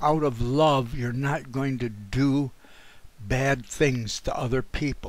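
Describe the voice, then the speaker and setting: A man at medium pitch and a very slow pace. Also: very clean recording, silent background. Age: 70s. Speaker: religious commentator. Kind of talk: monologue. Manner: halting.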